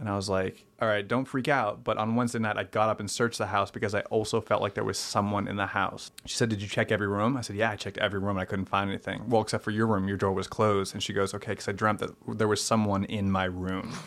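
In an American accent, a man talks at a very fast pace with hardly any pauses, his fairly low voice monotone and flat. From Boston area, Massachusetts. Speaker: improv comedian and writer. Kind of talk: storytelling in casual interview.

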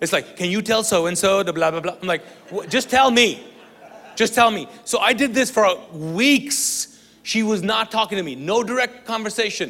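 Ordinary pitch variation at a moderate tempo, with background noise clearly noticeable. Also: man, high pitch for a man. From Kuwait, Pakistani family. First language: Urdu. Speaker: pastor, guest preacher. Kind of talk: sermon. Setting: church with congregation. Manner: animated.

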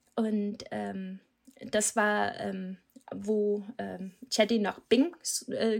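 A woman with a Danish accent speaks at a fairly high pitch. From Denmark. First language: Danish (speaking German). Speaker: SEO manager. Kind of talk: podcast interview. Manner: hesitant, many filler sounds.

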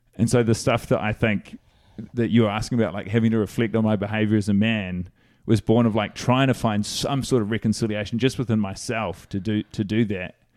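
The delivery is fairly quick, with fairly even intonation and a New Zealand accent. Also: man, fairly low pitch for a man. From New Zealand, Christchurch. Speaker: comedian. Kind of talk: casual chat.

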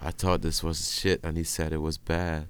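A man speaks in a very deep, low pitch with a Flemish accent. His intonation stays monotone and flat. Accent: Flemish Dutch-accented English. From Belgium (Dutch-speaking Flanders). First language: Dutch. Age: 20s. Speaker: music producer. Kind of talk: casual chat. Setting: video call.

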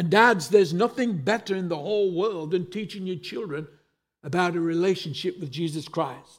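The delivery comes with an English accent and ordinary pitch variation. The pace is moderate. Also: man, high pitch for a man. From England. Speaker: pastor. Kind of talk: sermon.

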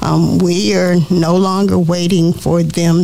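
Music plays in the background as a woman with an American accent speaks at a fairly slow pace, her pitch fairly low and her intonation fairly even. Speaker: school board trustee and co-host. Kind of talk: call-in talk show.

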